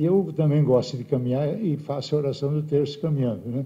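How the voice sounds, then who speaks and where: A man talks at a fairly quick pace and medium pitch. His dark, mellow tone is somewhat breathy. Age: 70s. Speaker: bishop. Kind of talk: speech to assembly. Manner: animated.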